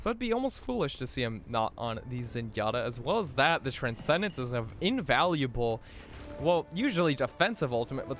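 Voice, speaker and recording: Music plays behind a man who talks at a fairly quick pace. His pitch swings very widely. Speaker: esports shoutcaster. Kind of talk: play-by-play esports commentary.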